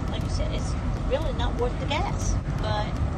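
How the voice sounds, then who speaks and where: Over loud background noise, a woman talks at a fairly slow pace. The sound is dry, with no echo. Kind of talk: casual chat. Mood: calm, a little resigned. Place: car. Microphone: phone near.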